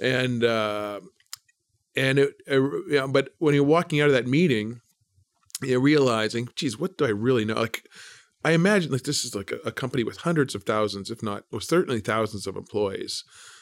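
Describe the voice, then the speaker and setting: A man with a Canadian accent and an unremarkable speaking voice, medium in pitch with ordinary variation, at a moderate pace, in a dry, close sound with no echo. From Canada, Brandon, Manitoba. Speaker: investment fund manager. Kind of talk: interview.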